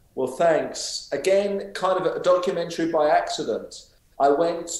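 Audible room echo around a man talking at a moderate pace. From London, England. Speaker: documentary filmmaker; guest. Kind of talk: interview. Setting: video call from home study. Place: home room. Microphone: video call.

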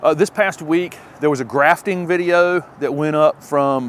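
A man speaks over light background noise. The sound is dry, with no echo. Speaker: gardening channel host. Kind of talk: casual vlog chat. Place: forest.

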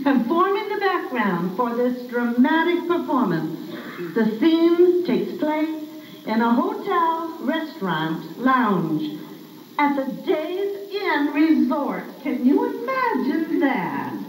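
In a room with audible echo and light background noise, a woman talks at a very slow pace in a high voice. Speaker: event host. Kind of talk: stage introduction. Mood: cheerful, warm. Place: hall. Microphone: camera far.

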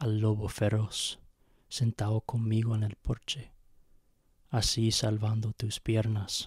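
At a very slow pace, a man speaks in a somewhat breathy, monotone, flat voice with long, frequent pauses, the sound dry with no echo and the background quiet. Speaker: poet reading own poem. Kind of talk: poem reading. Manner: slow, measured, halting with hesitations. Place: home room. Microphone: handheld.

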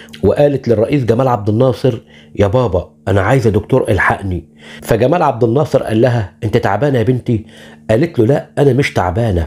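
At a moderate pace, a man with a medium pitch and a dark, mellow, somewhat breathy tone speaks with very even loudness and ordinary pitch variation. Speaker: YouTube channel host, arts narrator. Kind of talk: scripted narration.

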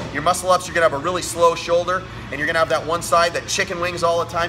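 Music plays in the background as a man talks at a very fast pace. His pitch is high. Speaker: fitness coach. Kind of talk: tutorial. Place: gym. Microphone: phone near.

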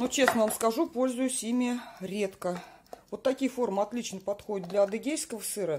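Light background noise sits behind the voice. The speech moves at a moderate pace with ordinary pitch variation. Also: woman, fairly high pitch for a woman. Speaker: home cheesemaking vlogger. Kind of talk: tutorial. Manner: casual, chatty. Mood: relaxed, advising. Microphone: phone near.

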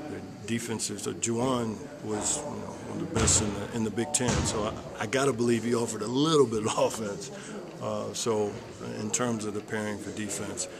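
Loud background noise sits behind a man speaking at a fairly quick pace. His pitch varies in an ordinary way. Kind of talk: interview answer. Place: stadium. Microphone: handheld.

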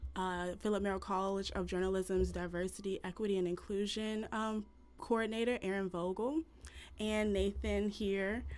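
A woman is speaking at a moderate pace. Her intonation is fairly even. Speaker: event host. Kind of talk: event introduction. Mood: warm, grateful. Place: home room.

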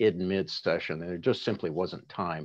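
A man with an American accent and a very deep, low pitch talks at a moderate pace with fairly even intonation. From US Pacific Northwest. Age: 60s. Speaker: city attorney running for re-election. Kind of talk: political endorsement interview. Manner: halting, frequent fillers and repetitions.

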